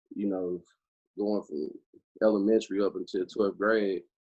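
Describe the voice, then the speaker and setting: With an American accent and an unremarkable speaking voice, a man talks at a moderate pace and a fairly low pitch. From St. Louis, Missouri (north county). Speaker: football coach. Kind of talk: casual interview.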